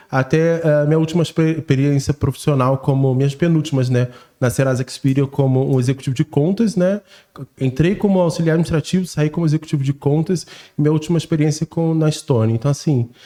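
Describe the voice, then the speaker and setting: Fairly quick and very even in loudness, a man with a strong Carioca accent speaks in a fairly high pitch with ordinary pitch variation. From Brazil, Rio de Janeiro. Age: 30s. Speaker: sales strategist. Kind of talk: casual podcast chat.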